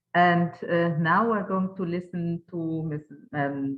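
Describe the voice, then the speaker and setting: Very deep and low for a woman, her voice has ordinary pitch variation. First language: German. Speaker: webinar moderator. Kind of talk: moderating a webinar. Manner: halting, many fillers.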